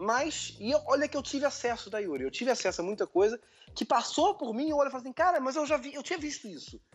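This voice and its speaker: Talking at a very fast pace, a man uses an extremely high pitch and lively intonation. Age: 30s. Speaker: digital marketing entrepreneur. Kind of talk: interview.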